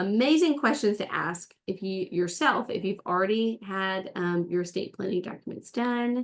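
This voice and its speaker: This woman has an unremarkable speaking voice. She talks at a moderate pace with ordinary pitch variation. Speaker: presenter of a webinar on estate organizing. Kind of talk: webinar presentation.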